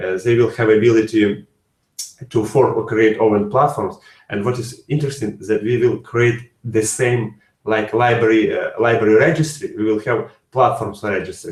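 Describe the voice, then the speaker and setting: A man's medium-pitched, somewhat breathy voice at a moderate pace with fairly even intonation, audible room echo and a quiet background. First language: not English. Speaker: software developer. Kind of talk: interview answers; webinar presentation. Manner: halting. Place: home room. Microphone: webcam.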